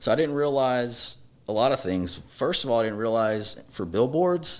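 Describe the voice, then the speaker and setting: A medium-pitched man with a Louisiana accent, lively intonation and a moderate pace. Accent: Louisiana Southern US. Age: 30s. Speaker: personal injury lawyer. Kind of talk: podcast interview.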